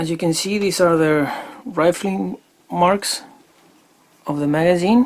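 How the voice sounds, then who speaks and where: A man with a high pitch and a non-native accent at a fairly slow pace, with long, frequent pauses. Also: ordinary pitch variation. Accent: non-native English speaker. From Chile. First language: Spanish. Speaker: airgun hobbyist YouTuber. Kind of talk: product demo tutorial. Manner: halting with frequent fillers.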